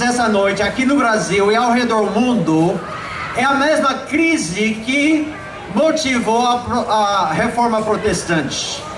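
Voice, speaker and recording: A man with an extremely high pitch speaks in an animated tone at a fairly slow pace, his loudness very even. Crowd noise sits in the background, and audible room echo is present. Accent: American. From Brazil, Belém do Pará. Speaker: preacher. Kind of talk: sermon. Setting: outdoor evangelistic event with audience.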